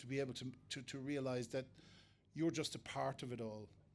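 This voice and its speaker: With an Irish accent, a man at medium pitch speaks at a fairly quick pace with fairly even intonation. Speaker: foraging teacher. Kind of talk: lecture. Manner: fast; halting, many fillers and repeats.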